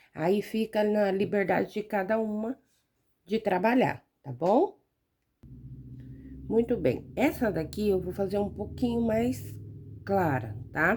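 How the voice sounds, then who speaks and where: A soft-spoken woman at a medium pitch talks at a very slow pace with lively intonation, vocal fry, and long, frequent pauses. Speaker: fabric painting teacher. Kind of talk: tutorial. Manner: gets quieter while absorbed in painting.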